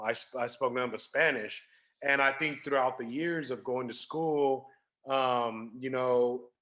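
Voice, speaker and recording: In a Californian accent, a man speaks fairly slowly at a medium pitch, with ordinary pitch variation and a bright, sharp tone. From Sacramento, California. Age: 30s. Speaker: DJ and event planner. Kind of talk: casual interview.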